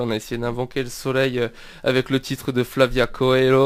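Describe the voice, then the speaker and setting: At a moderate pace, a man speaks in a medium-pitched voice. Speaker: radio host. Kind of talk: radio interview. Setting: radio studio. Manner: hesitant, many fillers.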